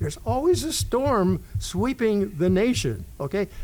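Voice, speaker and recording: Male speech with an American accent, noticeable noise running underneath. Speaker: radio DJ and former sports public address announcer. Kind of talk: interview answer, casual storytelling.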